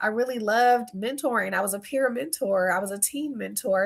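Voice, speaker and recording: A woman with a slight Southern US accent talks at a moderate pace. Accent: slight Southern US country twang. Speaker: speaker and workshop facilitator. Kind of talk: casual vlog talk.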